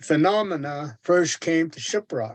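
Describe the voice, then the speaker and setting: A man speaks with a Navajo accent. His pace is fairly slow, with ordinary pitch variation. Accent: Navajo (Diné) English. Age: 70s. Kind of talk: seminar talk. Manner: halting, many fillers.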